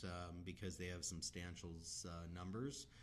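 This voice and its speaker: Moderate pace and audible room echo around a man's very deep, low voice. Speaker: crypto project leader. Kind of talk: live Q&A stream. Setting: live stream. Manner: monotone.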